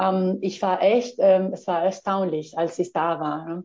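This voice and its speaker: Her pace is fairly slow. The woman's pitch sits in the medium range. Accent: Spanish. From Spain. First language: Spanish (speaking German). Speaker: postdoctoral geographer. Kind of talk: interview. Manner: halting, many fillers.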